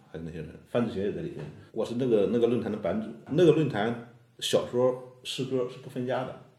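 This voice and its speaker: Very fast man's speech of medium pitch, dark and mellow with vocal fry, lively intonation, big swings in loudness and audible room echo. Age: young. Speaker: poet. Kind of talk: casual chat.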